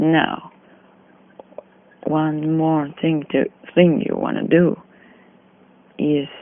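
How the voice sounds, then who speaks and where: Very slow pace with long, frequent pauses. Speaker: Blender tutorial maker. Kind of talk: software tutorial narration. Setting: phone recording, distorted and noisy.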